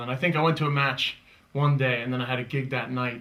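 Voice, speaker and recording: Monotone, flat intonation marks this fairly quick delivery in an American accent. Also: man. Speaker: comedian. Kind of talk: interview.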